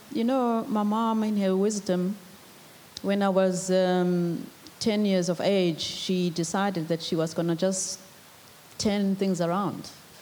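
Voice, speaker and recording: There is noticeable background noise. A woman with a medium pitch speaks at a fairly slow pace. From South Africa, KwaZulu-Natal rural village. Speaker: former state enterprise executive. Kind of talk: panel talk at business breakfast. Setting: breakfast event with audience.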